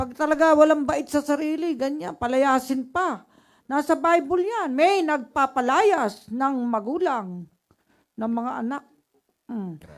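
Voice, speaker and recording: A high-pitched woman speaks with lively intonation and big swings in loudness. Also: fairly slow pace. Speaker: public attorney giving legal advice. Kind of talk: legal advice program commentary.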